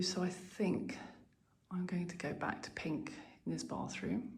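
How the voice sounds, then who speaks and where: A woman's dark, mellow, somewhat breathy voice with an English accent, at a fairly slow pace with audible room echo. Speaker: lifestyle vlogger. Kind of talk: house tour vlog. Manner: casual, chatty; whispering.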